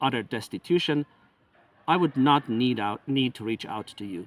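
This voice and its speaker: An ordinary speaking voice, a man at medium pitch with lively intonation. The sound is dry and close, with no echo. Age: 50s. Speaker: independent researcher and author. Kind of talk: appeal for donations. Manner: formal.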